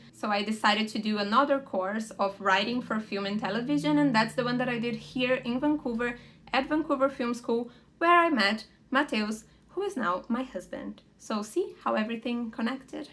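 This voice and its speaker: With a Portuguese accent, a woman talks at a moderate pace in a fairly high pitch, her intonation lively. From Brazil. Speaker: lifestyle vlogger. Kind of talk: casual vlog Q&A.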